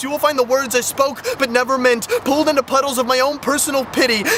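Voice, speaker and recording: At a very fast pace, a man with an extremely high pitch speaks in fairly even intonation, with noticeable background noise. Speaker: spoken word poet. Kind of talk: poetry performance. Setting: outdoors. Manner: loud.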